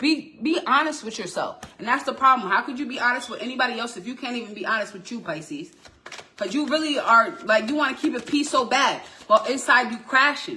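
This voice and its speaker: Over noticeable background noise, a woman uses a raised, projected voice that is high in pitch, moving at a fairly quick pace with ordinary pitch variation and big swings in loudness. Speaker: tarot reader. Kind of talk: tarot reading. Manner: animated.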